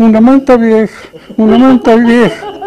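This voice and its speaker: A man speaks with an extremely high pitch. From Cajamarca, Peru. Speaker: painter. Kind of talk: anecdote telling. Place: street. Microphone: handheld.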